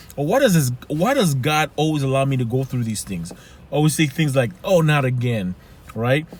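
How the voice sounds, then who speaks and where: Speaking in a Haitian accent, a man with a fairly high pitch sounds animated and somewhat breathy, with lively intonation at a moderate pace. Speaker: life coach. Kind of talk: motivational talk.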